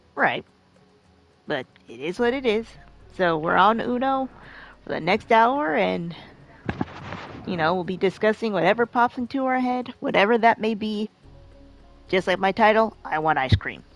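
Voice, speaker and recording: A woman with a medium pitch talks at a moderate pace, her intonation lively. She leaves long, frequent pauses over noticeable background noise. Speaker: gaming live streamer. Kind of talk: casual chat. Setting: live stream while playing a game.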